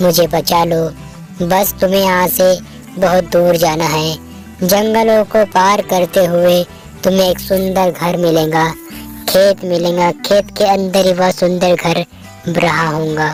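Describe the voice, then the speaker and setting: Over clear background music, a female-sounding cartoonish character voice speaks at a fairly slow pace with a fairly low pitch. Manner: sorrowful, pleading.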